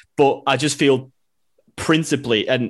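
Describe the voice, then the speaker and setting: A man keeps his intonation fairly even against a quiet background. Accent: Manchester. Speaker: City fan and writer. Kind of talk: casual football chat.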